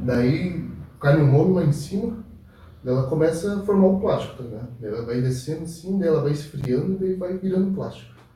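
Audible room echo follows a man who talks at a fairly quick pace with lively intonation. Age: 20s. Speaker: podcast guest. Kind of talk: casual chat. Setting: live stream.

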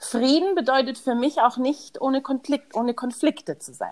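At a fairly slow pace, a woman with a high pitch speaks in an animated tone. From Munich, Bavaria. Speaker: podcast host. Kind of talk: casual chat.

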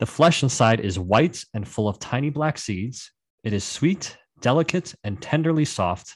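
At medium pitch and a moderate pace, a man speaks in a somewhat breathy voice with very wide pitch swings against a quiet background. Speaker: produce industry guest. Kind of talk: history documentary narration. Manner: measured, read-aloud storytelling.

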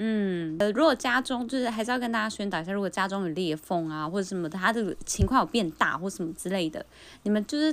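Very fast speech from a woman, medium in pitch and lively in intonation. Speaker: podcast co-host. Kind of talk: casual chat.

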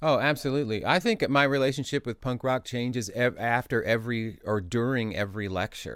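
A man with an American accent talks fairly quickly with hardly any pauses, using an unremarkable speaking voice at medium pitch with ordinary pitch variation. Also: very clean recording, silent background. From Indianapolis, Indiana, US Midwest. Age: 50s. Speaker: musician and music lecturer. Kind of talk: interview. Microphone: sounds good; host's voice bleeds into his recording.

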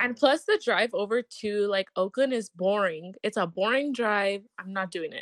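With an unremarkable speaking voice, a woman talks at a moderate pace and medium pitch with ordinary pitch variation, hardly any pauses and a dry, close sound with no echo. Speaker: guest. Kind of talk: casual chat.

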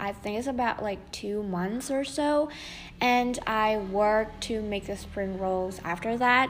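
At a very slow pace, a woman with a fairly high pitch speaks with ordinary pitch variation. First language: not English. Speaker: podcaster. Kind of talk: casual monologue. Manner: many fillers and hesitations.

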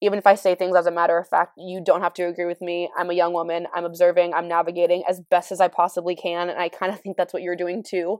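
An American accent marks this woman's very fast speech. Her intonation is monotone and flat, and the sound is dry and close with no echo. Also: very clean recording, silent background. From California. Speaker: podcaster. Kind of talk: casual solo chat. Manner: fast talker; casual, candid, laughs often.

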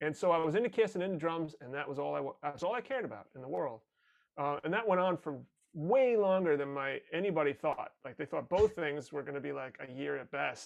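With an American accent, a man talks at a fairly quick pace in an ordinary speaking voice, pitched fairly high. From New York area (Rockland County). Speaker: performer and audio producer. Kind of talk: casual chat.

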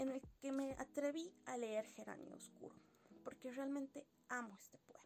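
A woman talks at a fairly slow pace. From Bolivia, Sucre. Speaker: podcast host reviewing poetry books. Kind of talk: casual monologue, book review.

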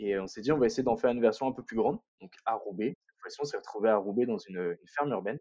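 A man at a fairly quick pace. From northern France, Lille area. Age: 20s. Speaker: entrepreneur, urban spirulina farmer. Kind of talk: casual interview. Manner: hesitant, many repetitions.

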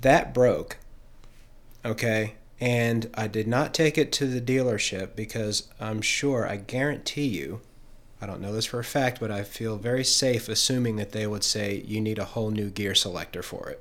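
Here is a man with an unremarkable speaking voice at medium pitch. He keeps a moderate pace and ordinary pitch variation. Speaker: podcast co-host. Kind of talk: casual banter. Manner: self-deprecating, joking.

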